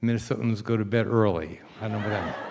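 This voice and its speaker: The pace is very fast. The speaker is a man with an American accent. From New York, Long Island. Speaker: rabbi. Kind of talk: talk to congregation.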